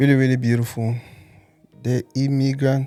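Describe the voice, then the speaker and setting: A man at medium pitch with monotone, flat intonation, with music in the background. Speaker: interviewer, podcast host. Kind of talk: podcast interview host.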